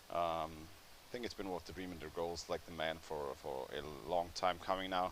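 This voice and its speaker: A man with a very deep, low pitch and vocal fry speaks at a moderate pace. His intonation is fairly even. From Austria, Vienna. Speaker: sports commentator. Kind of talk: live commentary. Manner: halting.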